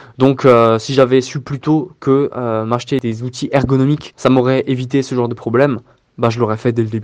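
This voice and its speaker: This man speaks at a medium pitch in a monotone, with flat intonation. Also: moderate pace. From Alsace, France (Strasbourg). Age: 20s. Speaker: videographer. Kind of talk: recorded testimony with advice.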